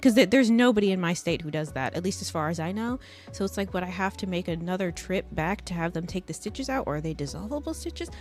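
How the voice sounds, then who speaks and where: Music plays in the background as a woman speaks at a very fast pace. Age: 20s. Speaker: streamer. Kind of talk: casual chat. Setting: live stream.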